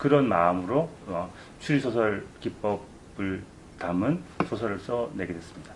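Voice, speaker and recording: With lively intonation, a man speaks fairly slowly at a fairly low pitch amid noticeable background noise. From South Korea. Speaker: novelist. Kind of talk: interview answers at a book event. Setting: room with live audience, no sound system.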